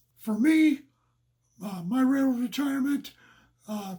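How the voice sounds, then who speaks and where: A man's extremely high voice with a dark, mellow tone. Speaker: retired railroader. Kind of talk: casual advice monologue. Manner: halting, many fillers.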